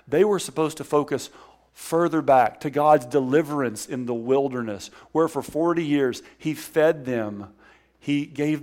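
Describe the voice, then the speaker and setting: On a very clean recording with a silent background, a man with a Southern US accent speaks at a fairly slow pace, his pitch fairly high with ordinary variation. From Alabama, US South. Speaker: guest preacher. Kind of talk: sermon. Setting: church.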